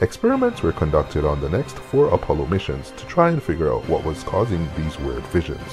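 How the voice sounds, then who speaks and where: At a moderate pace, a man talks while clear music sounds behind him. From Canada. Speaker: content creator. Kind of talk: fact narration.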